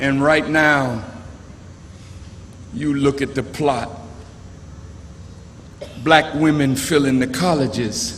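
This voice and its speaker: A man speaks at a very slow pace with long, frequent pauses. There is noticeable background noise. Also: fairly even intonation. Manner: oratorical, rhetorical.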